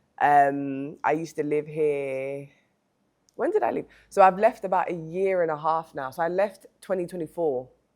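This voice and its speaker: A woman with a London accent speaks in a very deep, low pitch. She keeps a moderate pace with ordinary pitch variation. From London, England. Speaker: music marketer. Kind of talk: casual interview chat.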